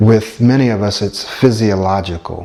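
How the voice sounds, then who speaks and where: A man talks at a moderate pace with ordinary pitch variation. Noticeable background noise is present. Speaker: stuttering coach. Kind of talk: personal testimony. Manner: hesitant with fillers.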